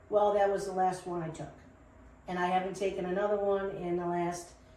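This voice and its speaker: A woman in a monotone, flat intonation at a fairly quick pace, with noticeable background noise and audible room echo. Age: 60s. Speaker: business co-owner. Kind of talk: interview. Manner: hesitant, many fillers.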